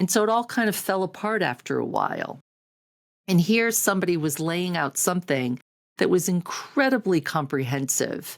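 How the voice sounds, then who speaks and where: On a very clean recording with a silent background, a woman with an unremarkable speaking voice talks at a moderate pace, fairly low in pitch and lively in intonation. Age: 60s. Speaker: productivity coach. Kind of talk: personal testimony to camera. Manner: conversational, filler-heavy.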